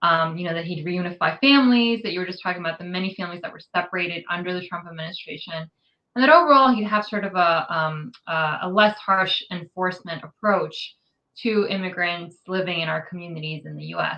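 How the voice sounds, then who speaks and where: A woman with a normal speaking voice and an American accent talks at a fairly quick pace with hardly any pauses, using a fairly low pitch with ordinary variation and big swings in loudness. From New York City. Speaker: immigrant rights advocate. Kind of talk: interview.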